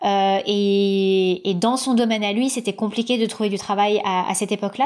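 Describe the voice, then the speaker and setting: At a fairly slow pace, a woman speaks with a medium pitch and fairly even intonation. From Paris suburbs, France (Seine-Saint-Denis). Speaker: podcaster and media creator. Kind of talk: interview. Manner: halting, many fillers and repetitions.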